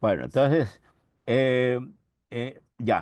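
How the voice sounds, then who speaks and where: A man of medium pitch speaks with vocal fry. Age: 80s+. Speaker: professor. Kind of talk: lecture. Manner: halting, with frequent self-corrections.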